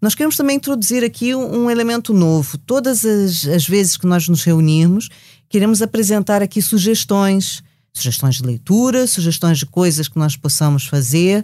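The pace is moderate. Pitch swings very widely. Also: woman, medium pitch for a woman. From Brazil. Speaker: journalist and podcast host. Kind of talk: casual chat. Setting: studio.

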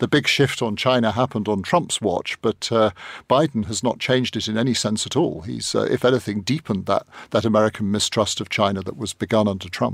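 In a very clean recording with a silent background and a dry, close sound with no echo, a man with a plain, everyday voice and medium pitch speaks at a fairly quick pace with ordinary pitch variation. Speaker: journalist. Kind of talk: panel discussion. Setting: studio.

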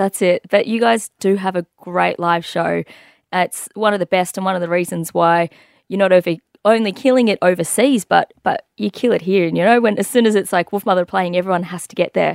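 With an Australian accent, a woman talks at a fairly quick pace on a very clean recording with a silent background. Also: medium pitch for a woman, ordinary pitch variation, dry, close sound with no echo. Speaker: radio host. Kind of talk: casual interview.

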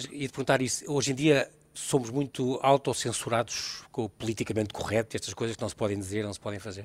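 With ordinary pitch variation, the words rush out at a very fast pace. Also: man, medium pitch for a man, hardly any pauses, big swings in loudness. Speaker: radio host. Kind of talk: radio interview. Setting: live broadcast from a venue.

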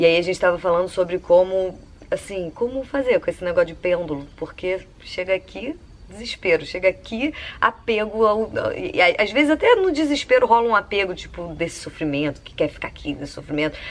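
Here a woman talks at a moderate pace. Her pitch swings very widely. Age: 30s. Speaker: columnist. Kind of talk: personal monologue. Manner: casual, conversational.

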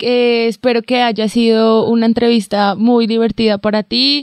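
The speaker talks at a fairly slow pace, with a dry, close sound and no echo. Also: woman. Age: 20s. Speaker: podcast host. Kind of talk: casual interview. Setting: in a car.

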